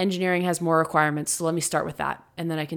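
In a very clean recording with a silent background, a woman with an American accent talks very fast at a fairly low pitch. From New Jersey, US (Montclair). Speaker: retired professional hockey player. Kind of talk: interview.

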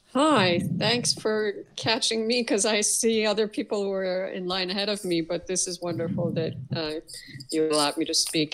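Noticeable background noise behind a woman, medium in pitch, at a moderate pace with ordinary pitch variation. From Iran. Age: 50s. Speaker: caller. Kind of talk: call-in question.

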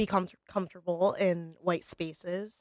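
A woman at a medium pitch with an American accent, a dry, close sound with no echo and a very clean recording with a silent background. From New Haven, Connecticut. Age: 20s. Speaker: marketing manager and culinary graduate. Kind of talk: casual chat. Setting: on a porch, live broadcast. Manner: halting, many fillers.

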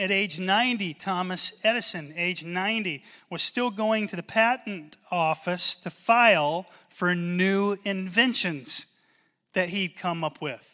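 A man projects a raised voice with a high pitch, ordinary pitch variation and a bright, sharp tone. He speaks at a fairly slow pace on a very clean recording with a silent background. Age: 40s. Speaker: pastor. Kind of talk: sermon. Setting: church.

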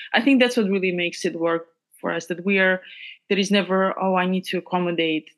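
With a Georgian accent, a woman talks at a very fast pace and medium pitch against a quiet background. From Georgia (country). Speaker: pianist and composer. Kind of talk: casual interview. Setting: video call.

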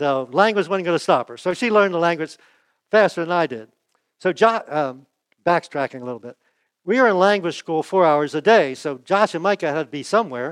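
A man with a high-pitched voice talks with lively intonation and big swings in loudness. The sound is dry and close with no echo, over a quiet background. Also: fairly quick pace. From United States. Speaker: pastor. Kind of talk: sermon.

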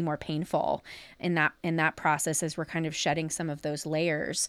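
Moderate pacing from a woman with an American accent. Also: dry, close sound with no echo. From US Midwest, southern Ohio near Cincinnati. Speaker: therapist. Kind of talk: casual chat. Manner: animated.

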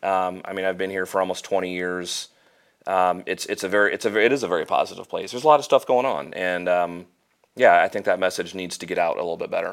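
The speaker has a Midwestern American accent. The pace is very fast. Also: man. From Central Illinois (Normal). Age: 30s. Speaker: financial planner. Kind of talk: casual interview.

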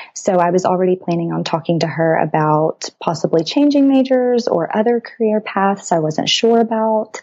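A woman's medium-pitched voice with a dark, mellow tone, an American accent, a moderate pace and ordinary pitch variation. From Texas. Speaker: pre-chiropractic student. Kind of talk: interview.

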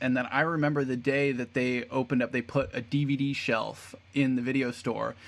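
Medium in pitch, the man's delivery comes at a moderate pace. It is a normal speaking voice. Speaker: podcast host. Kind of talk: casual interview chat.

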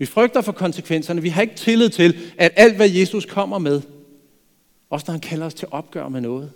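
A high-pitched male voice with lively intonation at a moderate pace. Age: 50s. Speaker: pastor. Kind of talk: sermon.

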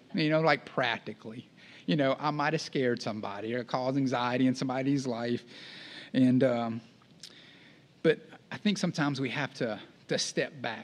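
Using a Texan accent, a man speaks at a moderate pace in a medium pitch with ordinary pitch variation and long, frequent pauses. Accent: Texan Southern US. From East Texas. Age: 40s. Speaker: campus ministry director, guest preacher. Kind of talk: sermon. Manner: casual, conversational.

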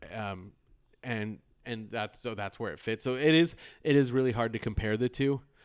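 A man's medium-pitched, moderately paced speech, a plain, everyday voice with ordinary pitch variation and big swings in loudness, on a very clean recording with a silent background. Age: 40s. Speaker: podcast host. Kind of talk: casual chat.

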